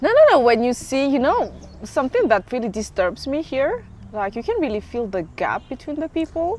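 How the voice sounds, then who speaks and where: Over noticeable background noise, a woman talks at a fairly quick pace with a high pitch and very wide pitch swings. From Madagascar. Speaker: English teacher. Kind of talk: interview answer.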